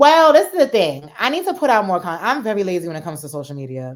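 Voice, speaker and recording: A woman with a New York accent talks at a very fast pace, animated, with very wide pitch swings. The recording is very clean, with a silent background. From New Jersey / New York area. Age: young. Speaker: stand-up comedian. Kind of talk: casual interview.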